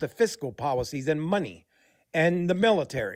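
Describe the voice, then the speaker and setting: A man speaks at a moderate pace with lively intonation. His pitch is high. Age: 60s. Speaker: caller, army veteran. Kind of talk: call-in discussion.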